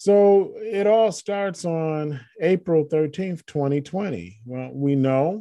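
Very slowly, a man with an American accent speaks in a high voice with a dark, mellow tone. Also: ordinary pitch variation, hardly any pauses. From Michigan, US Midwest. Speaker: podcast host. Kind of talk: solo monologue.

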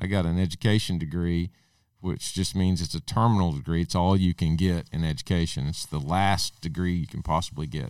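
In an Arkansas accent, a man speaks with a very deep, low pitch on a very clean recording with a silent background. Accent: US Southern, Arkansas. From Arkansas, Logan County. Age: 50s. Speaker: school superintendent. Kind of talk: interview by children.

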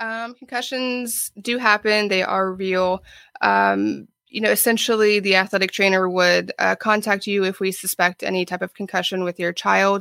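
In a dry, close sound with no echo, a woman with an American accent speaks at a moderate pace and medium pitch, with hardly any pauses. Her tone is bright and sharp, her intonation fairly even. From Ohio. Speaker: athletic trainer. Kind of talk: interview.

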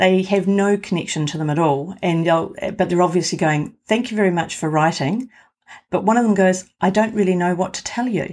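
This woman has a New Zealand accent and a medium pitch, with ordinary variation in her intonation. She talks fairly quickly on a very clean recording with a silent background. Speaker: professional genealogist. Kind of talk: interview.

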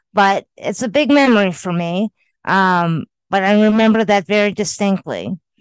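A woman with an ordinary speaking voice talks at medium pitch and a moderate pace, with ordinary pitch variation over a quiet background. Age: 50s. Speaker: podcast co-host. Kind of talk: casual chat. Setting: recording remotely from her home.

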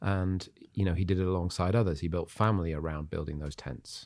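A man with an English accent speaks at a fairly quick pace in a very deep, low voice. His intonation stays fairly even, and the recording is very clean with a silent background. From Zimbabwe and England. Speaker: pastor and entrepreneur. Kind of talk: casual chat.

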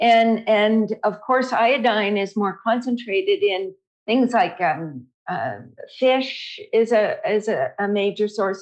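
A woman speaks in an unremarkable speaking voice at a fairly high pitch. Her pitch variation is ordinary, and the background is quiet. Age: 60s. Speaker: dietitian and author. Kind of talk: interview, expert explanation.

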